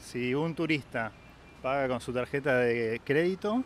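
With an Argentine accent, a man speaks at a fairly high pitch with ordinary pitch variation. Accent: Argentine Spanish (Rioplatense). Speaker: local guide. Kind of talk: casual chat.

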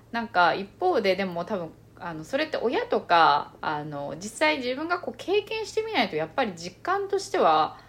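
A woman speaks at a moderate pace with a fairly high pitch and very wide pitch swings. There are hardly any pauses, and background noise is noticeable. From Japan, born in China and moved young. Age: 30s. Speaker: podcast co-host. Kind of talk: casual chat. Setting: recording in person together.

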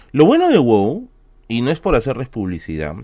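This man's medium-pitched voice has a dark, mellow tone and very wide pitch swings, delivered at a moderate pace. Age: 30s. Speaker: history streamer. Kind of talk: casual live stream chat. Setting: home office.

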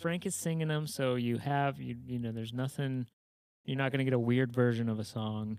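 Here is a man with an American accent and a plain, everyday voice. He keeps a moderate pace, with a medium pitch and ordinary pitch variation. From Indiana, US Midwest. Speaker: podcast co-host. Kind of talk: casual chat.

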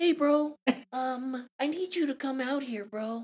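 A put-on character voice at a fairly slow pace. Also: woman, high pitch for a woman. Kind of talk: casual, bro-like.

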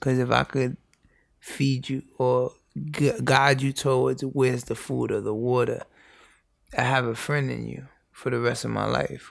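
On a very clean recording with a silent background, a man in an American accent talks at a moderate pace. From New York, the Bronx. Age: 20s. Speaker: youth educator. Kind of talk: casual chat. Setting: in person in the Bronx.

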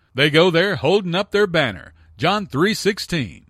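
A man's high-pitched voice, dry and close with no echo, on a very clean recording against a silent background. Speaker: radio Bible teacher. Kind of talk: radio teaching on scripture. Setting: radio studio. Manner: earnest, didactic.

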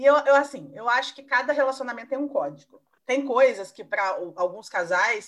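Her voice is high for a woman and moves through very wide pitch swings. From southern Minas Gerais, Brazil (Caxambu). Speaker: journalist. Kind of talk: casual chat.

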